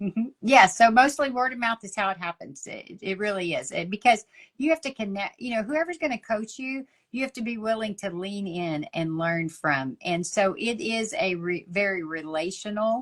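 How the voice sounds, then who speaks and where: A woman with a strong Texas accent talks at a moderate pace in a fairly high voice. Her pitch swings very widely and her loudness rises and falls sharply. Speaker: ministry leader and coach. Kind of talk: interview conversation.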